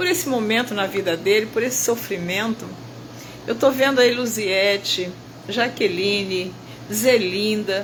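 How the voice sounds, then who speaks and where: At a fairly slow pace, a woman speaks in a medium pitch with ordinary pitch variation. Noticeable background noise and audible room echo come through. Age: 70s. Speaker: bible teacher. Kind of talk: testimony. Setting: hospital room. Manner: emotional.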